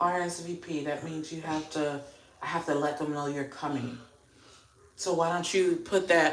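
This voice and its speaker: Amid audible room echo, a woman with an American accent and a very deep, low pitch speaks at a moderate pace in fairly even intonation, with long, frequent pauses. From South Florida (Miami area), Haitian American family. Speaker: livestreamer, beauty content creator. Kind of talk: casual livestream chat.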